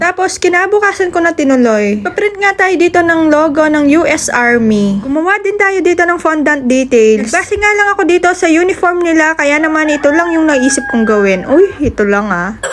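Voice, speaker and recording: A woman speaks at a moderate pace in an animated tone, her extremely high pitch swinging very widely. Her loudness stays very even, with noticeable background noise behind her. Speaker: cake baker vlogger. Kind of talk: vlog voice-over. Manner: energetic.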